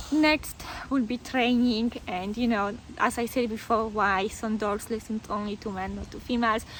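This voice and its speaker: A woman with a fairly high pitch talks at a moderate pace with fairly even intonation amid noticeable background noise. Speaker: dog owner vlogger. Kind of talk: casual vlog monologue. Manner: conversational with fillers and hesitations.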